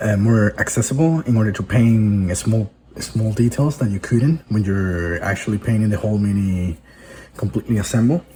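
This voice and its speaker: A man with a Spanish accent speaks at a moderate pace, somewhat breathy, with a dark, mellow tone and ordinary pitch variation. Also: fairly low pitch for a man. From Venezuela. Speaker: hobby video host. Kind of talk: tutorial. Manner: halting, with fillers and restarts.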